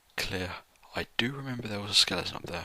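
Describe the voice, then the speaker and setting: The speaker talks fairly quickly with a British accent. Noticeable background noise is present. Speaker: gamer doing a let's play. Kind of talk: gameplay commentary. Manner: halting.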